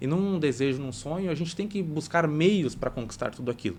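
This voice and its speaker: Pitched fairly high, a man talks at a very fast pace with ordinary pitch variation. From Brazil, Santa Catarina. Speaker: cooperative bank regional manager. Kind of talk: podcast interview.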